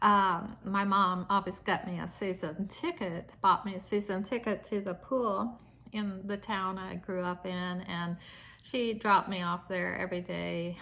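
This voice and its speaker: With an American accent, a woman speaks in a bright, sharp, relaxed tone. Her intonation stays fairly even. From US Midwest, Nebraska. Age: 60s. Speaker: lifestyle vlogger. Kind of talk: casual vlog talk to camera. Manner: relaxed, with many fillers and hesitations.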